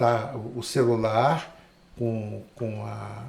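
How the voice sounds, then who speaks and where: Noticeable background noise accompanies a man talking at a medium pitch. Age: 60s. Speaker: photographer and cinematographer. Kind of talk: casual interview chat.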